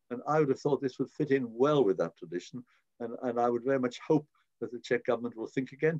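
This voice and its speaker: A man speaks with a British accent and a dark, mellow tone. The sound is dry and close, with no echo. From born in Prague, raised in Britain from age six. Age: 80s+. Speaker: politician, member of the House of Lords. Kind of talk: interview answer.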